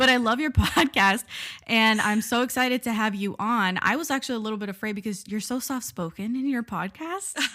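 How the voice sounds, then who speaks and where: Loud and animated, this voice moves at a fairly quick pace with a bright, sharp tone and ordinary pitch variation. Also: woman, fairly high pitch for a woman. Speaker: podcast host, drama reviewer. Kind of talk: casual chat. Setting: call.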